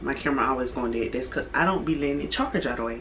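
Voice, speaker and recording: Room echo is audible as a woman talks, with noticeable noise in the background. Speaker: YouTuber, home cook. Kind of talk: cooking tutorial vlog. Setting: home kitchen. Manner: casual, conversational.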